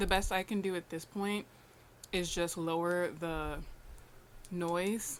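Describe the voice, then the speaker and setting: The voice is soft-spoken and flat, with monotone intonation. It moves at a very slow pace, broken by long, frequent pauses. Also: woman, fairly low pitch for a woman. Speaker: lifestyle vlogger. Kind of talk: casual vlog talk to camera.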